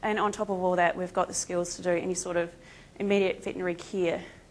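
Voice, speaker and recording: This woman has a medium-pitched voice with a New Zealand accent. The background is quiet. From Australia. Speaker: veterinary lecturer and emergency responder. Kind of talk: conference presentation. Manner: casual, many filler ums.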